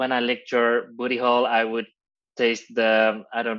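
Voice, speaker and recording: A man speaks in a Dutch accent at a medium pitch and a fairly slow pace. His intonation is monotone and flat, and the background is quiet. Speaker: drag queen, reality show contestant. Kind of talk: interview. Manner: halting.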